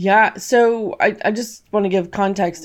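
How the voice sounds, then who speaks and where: Speaking with a West Coast US accent, a woman talks at a fairly slow pace. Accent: General American (West Coast). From California. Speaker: author and trauma survivor. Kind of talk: interview testimony.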